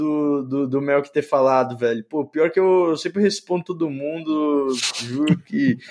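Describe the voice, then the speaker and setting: Using an ordinary speaking voice, a man with a fairly high pitch talks at a fairly slow pace with ordinary pitch variation. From Brazil, São Paulo. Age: 20s. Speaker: YouTuber. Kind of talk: casual chat.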